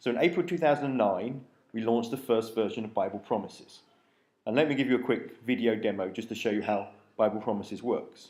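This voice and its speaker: A man with a British accent speaks at a very fast pace. His pitch variation is ordinary, and room echo is audible. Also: medium pitch for a man. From UK. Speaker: app developer, conference speaker. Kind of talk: conference talk.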